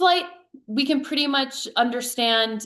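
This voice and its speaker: A woman with an animated tone. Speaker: dog behavior consultant. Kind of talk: webinar lecture.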